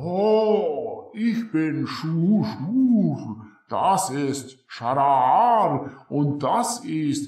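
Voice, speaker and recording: At a very slow pace with hardly any pauses, a man speaks in a guttural voice with a high pitch and very wide pitch swings. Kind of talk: comic fantasy voice acting. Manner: timid, self-deprecating, broken speech.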